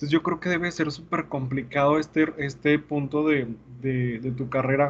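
Somewhat breathy, a man speaks at a moderate pace. His voice is fairly high, and his intonation fairly even. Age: 20s. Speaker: podcast host and teacher. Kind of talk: casual chat.

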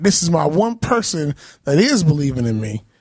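A man's somewhat breathy, fairly high-pitched voice. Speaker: podcast co-host, musician. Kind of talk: casual chat.

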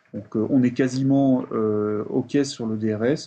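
With a dark, mellow tone, a man talks at medium pitch, his pitch varying in an ordinary way. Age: 40s. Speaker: software developer. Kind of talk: interview.

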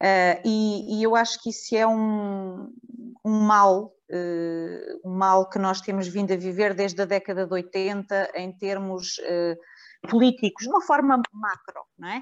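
Over a quiet background, the words come at a very slow pace with fairly even intonation. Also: woman, medium pitch for a woman. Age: 50s. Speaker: local politician. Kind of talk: radio panel discussion. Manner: halting.

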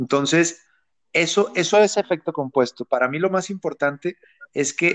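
A man with a normal speaking voice at a moderate pace, with ordinary pitch variation, in a dry, close sound with no echo. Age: 30s. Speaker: online entrepreneur. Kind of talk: interview.

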